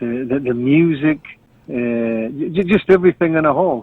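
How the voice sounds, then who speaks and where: A man speaks in a Scottish accent at a moderate pace. His pitch sits in the medium range. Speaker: Highland Games athletics announcer. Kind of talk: interview answer. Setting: video call recording (Zoom).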